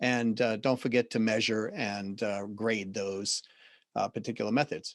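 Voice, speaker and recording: A man speaks with a Boston accent at a medium pitch. His intonation is monotone and flat, at a moderate pace. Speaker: business consultant and CEO. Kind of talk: podcast interview.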